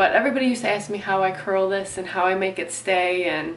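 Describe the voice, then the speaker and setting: Someone with an American accent talks at a fairly quick pace with ordinary pitch variation, over noticeable background noise. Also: woman. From Southeast Michigan. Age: 20s. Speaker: beauty and fitness vlogger. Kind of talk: casual talk to camera.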